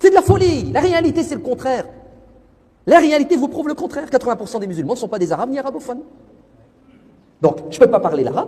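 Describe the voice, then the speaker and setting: Delivered at a very fast pace with an animated tone, the voice shows very wide pitch swings, big swings in loudness and long, frequent pauses. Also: man, extremely high pitch for a man. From France. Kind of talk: religious talk.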